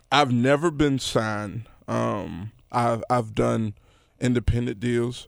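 A man with a Memphis accent speaks with lively intonation. The recording is very clean, with a silent background. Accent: Southern US, Memphis. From Memphis, Tennessee. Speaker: rapper and producer. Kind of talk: casual podcast interview.

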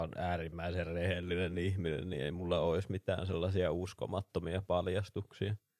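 A man speaks in a very deep, low pitch with monotone, flat intonation. The recording is very clean with a silent background and a dry, close sound with no echo. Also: hardly any pauses. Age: 20s. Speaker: podcast co-host. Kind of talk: casual chat.

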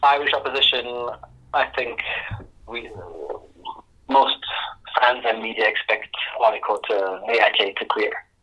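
Long pauses, frequent ones, from a man at a moderate pace, with noticeable noise in the background. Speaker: football journalist. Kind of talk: interview. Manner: halting.

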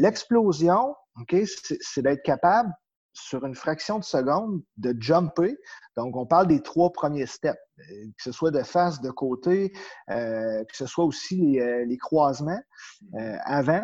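A man's fairly high voice with a Quebec accent, very wide pitch swings, big shifts in loudness and a very slow pace. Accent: Québécois French. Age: 30s. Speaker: power skating coach. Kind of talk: interview.

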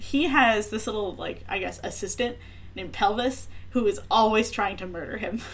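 A woman uses a normal speaking voice, fairly high in pitch and varying in an ordinary way. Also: moderate pace. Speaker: podcast host. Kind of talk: casual chat.

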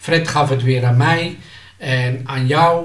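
Somewhat breathy, a man speaks at a very slow pace with audible room echo. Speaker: former pirate radio amateur. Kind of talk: casual interview. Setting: at home.

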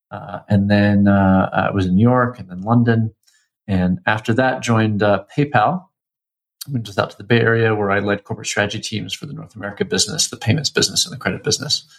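Words come at a fairly quick pace in an ordinary speaking voice. The pitch shows ordinary variation. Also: man, fairly low pitch for a man. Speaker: fintech founder. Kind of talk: interview. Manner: many fillers and repetitions.

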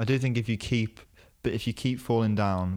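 In a very clean recording with a silent background, a man with a plain, everyday voice talks at a fairly quick pace and with fairly even intonation. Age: 20s. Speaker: podcast host. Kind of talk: casual chat. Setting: in person, same room. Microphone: dynamic studio mic.

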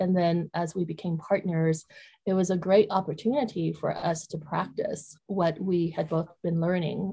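This woman's fairly low voice has a dark, mellow tone, a somewhat breathy quality and ordinary pitch variation. She talks at a fairly slow pace on a very clean recording with a silent background. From Vietnam. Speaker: author. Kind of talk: interview.

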